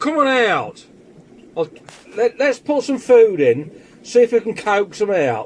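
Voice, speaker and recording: A man with an English accent and a high pitch, lively intonation, a fairly slow pace with long, frequent pauses, and noticeable background noise. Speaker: fish keeper vlogger. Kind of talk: casual video commentary. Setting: fish room. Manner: loud; halting, many fillers. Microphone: mobile phone against the glass.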